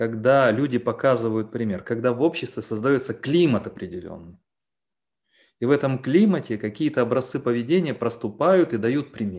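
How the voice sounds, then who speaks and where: The background is quiet as a man speaks at a moderate pace. His pitch is medium, with ordinary variation. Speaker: philosopher; guest. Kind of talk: Q&A discussion. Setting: video call. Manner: long-winded. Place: home room. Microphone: video call.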